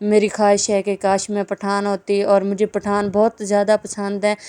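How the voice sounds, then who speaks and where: A woman's dark, mellow, medium-pitched voice comes through with a dry, close sound and no echo. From Pakistan, Saraiki-speaking region. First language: Saraiki (speaking Hindi). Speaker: vlogger. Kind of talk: casual vlog narration.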